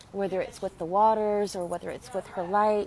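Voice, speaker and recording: This woman talks at a medium pitch with fairly even intonation. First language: Spanish. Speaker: spiritual healer and channeler. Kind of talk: live stream talk. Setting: Facebook live video. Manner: halting.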